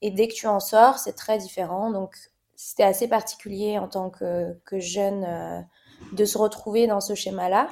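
A woman speaks at a fairly slow pace in a medium pitch, her tone dark and mellow and her intonation fairly even. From Morocco. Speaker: fashion model. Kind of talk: interview conversation.

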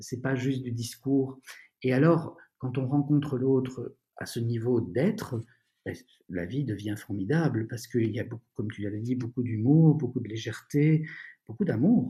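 At a fairly slow pace, a man speaks in a somewhat breathy, medium-pitched voice with a dark, mellow tone and ordinary pitch variation. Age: 50s. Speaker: author and former doctor, founder of a school. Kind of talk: interview about personal development. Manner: hesitant, with frequent fillers.

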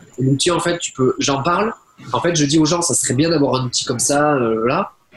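A man with a fairly high voice talks at a fairly quick pace, using ordinary pitch variation, over noticeable background noise. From southwest France. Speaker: online marketing entrepreneur. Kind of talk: interview. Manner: hesitant, many fillers.

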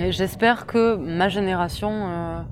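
Her intonation fairly even, a woman speaks at a fairly low pitch. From southwest France (Tarn-et-Garonne). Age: 20s. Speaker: interviewee. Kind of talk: personal testimony. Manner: hesitant, many fillers.

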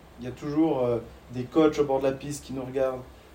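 A fairly high-pitched man, fairly quick and monotone, over noticeable background noise. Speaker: ski coach and podcast host. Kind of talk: interview.

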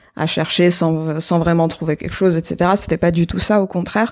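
A woman talks at a moderate pace in a fairly low pitch with monotone, flat intonation. The recording is very clean, with a silent background. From Algeria, Algiers. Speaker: application engineer and artisan brand founder. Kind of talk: casual interview.

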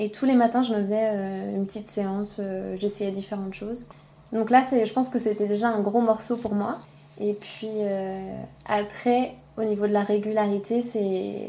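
A woman speaks at a moderate pace in a monotone, flat intonation. Her pauses are long and frequent. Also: medium pitch for a woman. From France. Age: 20s. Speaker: school childcare coordinator. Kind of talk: casual chat.

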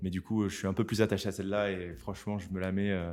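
Speaking at a fairly quick pace, a man uses a fairly low pitch and a monotone, flat intonation. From southern France. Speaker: YouTuber, rap analyst. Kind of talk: casual interview chat. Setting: studio. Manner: halting, many repetitions.

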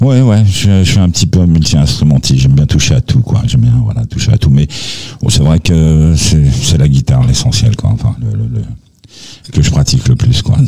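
Over noticeable background noise, a man with a very deep, low pitch makes very wide pitch swings at a moderate pace while keeping his loudness very even. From France. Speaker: singer-songwriter. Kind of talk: interview.

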